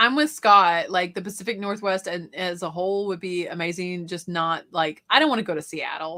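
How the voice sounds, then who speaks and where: A woman with a Southern accent speaks with hardly any pauses at a medium pitch in a bright, sharp tone with ordinary pitch variation, on a very clean recording with a silent background. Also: moderate pace. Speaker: reseller and YouTuber. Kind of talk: casual chat.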